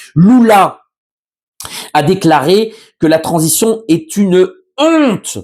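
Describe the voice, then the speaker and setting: A man's high voice, very slow with long, frequent pauses, very even loudness and lively intonation. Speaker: journalist. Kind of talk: news commentary monologue. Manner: hesitant, many fillers.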